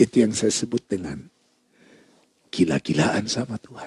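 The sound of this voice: A man talks at a moderate pace with a fairly low pitch, lively intonation and a slightly mellow tone with a husky, rough edge. The sound is dry and close, with no echo.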